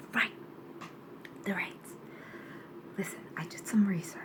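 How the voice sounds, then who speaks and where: A woman's medium-pitched voice with fairly even intonation, amid noticeable background noise. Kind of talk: ASMR roleplay, casual talk to camera. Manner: soft-spoken, conversational.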